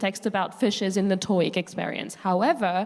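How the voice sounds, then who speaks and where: A woman with a French accent at a moderate pace, against noticeable background noise. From France. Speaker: panelist, language teacher. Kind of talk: panel discussion. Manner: animated.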